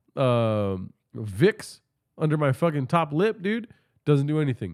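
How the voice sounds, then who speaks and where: A man's animated, medium-pitched voice with very wide pitch swings and a New York accent, on a very clean recording with a silent background. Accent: New York-like way of talking. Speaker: podcast host. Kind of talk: casual live stream chat.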